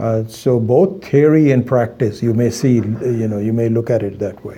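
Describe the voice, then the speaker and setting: The speaker has an Indian accent and a dark, mellow tone. The pace is moderate, with ordinary pitch variation. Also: man, medium pitch for a man. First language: Hindi. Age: 60s. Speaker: Vedanta teacher. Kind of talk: lecture. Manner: halting, many fillers.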